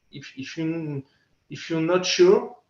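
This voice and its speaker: At a fairly slow pace, a man speaks in a French accent. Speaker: safety equipment company speaker. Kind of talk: conference presentation. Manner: halting, many repetitions and fillers.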